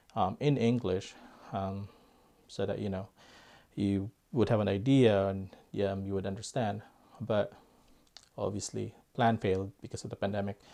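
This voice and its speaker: Talking at a moderate pace with long, frequent pauses, a man with a Filipino accent uses a fairly low pitch. His tone is dark and mellow, with fairly even intonation. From Philippines. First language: Filipino language. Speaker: airgun YouTuber. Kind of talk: casual vlog talk. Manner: hesitant, many fillers.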